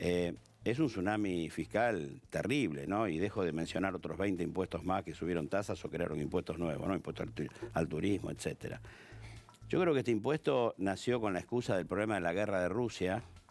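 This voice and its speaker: In a very deep, low voice, a man talks at a moderate pace with lively intonation. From Argentina. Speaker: tax specialist; guest. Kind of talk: TV interview. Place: studio. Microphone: headset.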